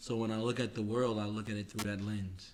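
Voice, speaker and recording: Fairly low-pitched man with a New York accent, fairly even intonation and a fairly quick pace, with audible room echo around him. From New York City (Queens). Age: 40s. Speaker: podcast co-host. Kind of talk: casual chat. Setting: home recording studio.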